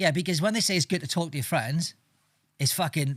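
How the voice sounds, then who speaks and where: In a very clean recording with a silent background, a man sounds somewhat breathy and uses ordinary pitch variation. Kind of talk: casual podcast banter.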